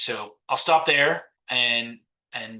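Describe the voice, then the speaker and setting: This voice belongs to a man. It has a bright, sharp tone. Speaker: cybersecurity executive. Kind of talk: conference talk. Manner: fast.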